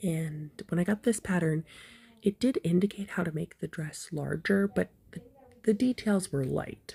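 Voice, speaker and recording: The speaker is soft-spoken and somewhat breathy, with a dark, mellow tone. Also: woman, fairly low pitch for a woman, ordinary pitch variation, moderate pace. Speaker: crochet hobbyist. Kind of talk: casual review. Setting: recording at home in the evening.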